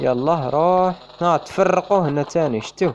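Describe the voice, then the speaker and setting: Noticeable background noise sits behind a man with an Algerian accent. He speaks at a fairly slow pace, with a high pitch and lively intonation. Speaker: gaming YouTuber. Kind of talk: casual gameplay commentary.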